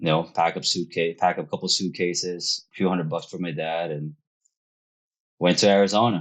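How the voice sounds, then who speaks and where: In a Filipino accent, a man speaks with a very deep, low pitch and fairly even intonation. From Philippines. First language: Filipino language. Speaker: real estate investor. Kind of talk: podcast interview.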